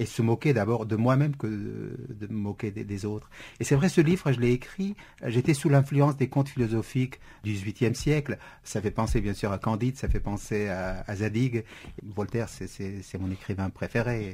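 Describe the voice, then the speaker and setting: A man with a Kurdish accent, medium pitch, a dark, mellow tone, a somewhat breathy quality and a moderate pace. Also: ordinary pitch variation. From Syria (Kurdish). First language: Kurdish (speaking French). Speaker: novelist. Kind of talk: radio interview. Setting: radio studio. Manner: hesitant, frequent repetitions.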